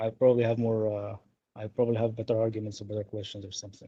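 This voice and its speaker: Speaking at a medium pitch, a man with a non-native accent has a dark, mellow tone. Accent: noticeable foreign. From Egypt. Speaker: caller. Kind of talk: call-in conversation.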